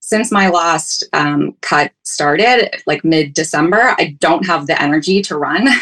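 A woman with a fairly low pitch and lively intonation, at a fairly slow pace with hardly any pauses. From Ontario, Canada. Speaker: caller seeking fitness advice. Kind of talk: call-in question. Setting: video call. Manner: hesitant, many fillers.

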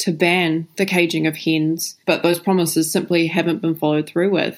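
In a very clean recording with a silent background, a woman with a New Zealand accent speaks at a moderate pace. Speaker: animal rights campaign manager. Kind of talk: interview. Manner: casual with frequent fillers.

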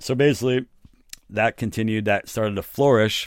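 At a moderate pace and with ordinary pitch variation, this American-accented voice comes through on a very clean recording with a silent background. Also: man. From New York City. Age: 50s. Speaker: recording studio owner and producer. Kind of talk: casual interview. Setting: recording studio.

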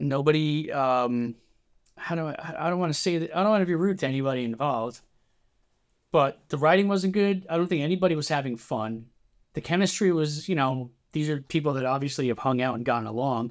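A man with a New Jersey accent, fairly high in pitch, with ordinary pitch variation at a fairly quick pace. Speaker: musician. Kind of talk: casual chat.

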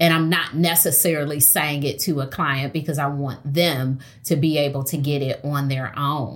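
A woman with an American accent, very deep and low in pitch, in a monotone, flat delivery at a moderate pace. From Detroit. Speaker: therapist and author. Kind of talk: interview.

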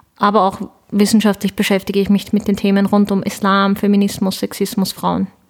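Quick-paced at a fair clip, a woman speaks at medium pitch with very even loudness. Her intonation is monotone and flat. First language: Turkish (speaking German). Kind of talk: interview.

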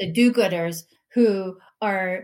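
Medium in pitch for a woman, her ordinary speaking voice holds a fairly even intonation. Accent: American. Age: 50s. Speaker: Air Force veteran, organizational consultant. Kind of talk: interview conversation.

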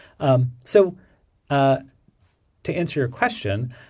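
On a very clean recording with a silent background, a man with an American accent sounds somewhat breathy. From Pittsburgh, US Midwest. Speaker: interior designer, design firm owner. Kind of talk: casual interview.

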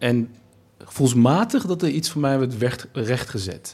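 Very slow speech from a man at a medium pitch, its variation ordinary. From Nijmegen, Netherlands, Turkish family. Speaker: writer, anthropologist. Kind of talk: conversational discussion. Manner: hesitant, repeats words.

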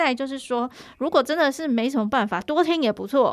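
A woman speaks with a Taiwanese accent and ordinary pitch variation. The recording is very clean, with a silent background. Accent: Taiwanese Mandarin. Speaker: podcast host and journalist. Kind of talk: casual interview chat.

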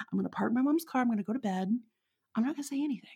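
A woman with a Texan accent speaks at a high pitch. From Texas. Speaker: witch and interviewee. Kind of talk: casual chat. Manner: laughs often, casual, halting.

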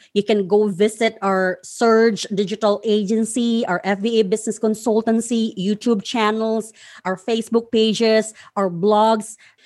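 A woman talks at a moderate pace with a fairly high pitch. The recording is very clean, with a silent background. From Philippines, Surigao del Sur (Mindanao). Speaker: podcast host and freelancing coach. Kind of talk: solo instructional monologue.

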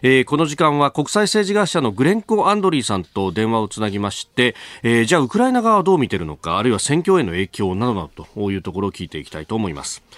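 On a very clean recording with a silent background and a dry, close sound with no echo, a man talks very fast at a medium pitch with very wide pitch swings. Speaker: radio news show host. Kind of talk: live morning radio news talk.

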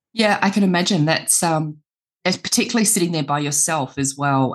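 With an Australian accent, a woman talks at a moderate pace with ordinary pitch variation against a quiet background. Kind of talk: interview. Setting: video call.

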